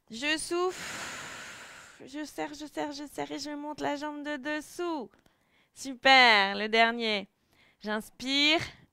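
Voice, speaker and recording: Very slowly, a woman projects a raised voice with a bright, sharp tone in a dry recording with no echo. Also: ordinary pitch variation, big swings in loudness, quiet background. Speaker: fitness instructor. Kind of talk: exercise class instruction. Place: home room. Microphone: headset.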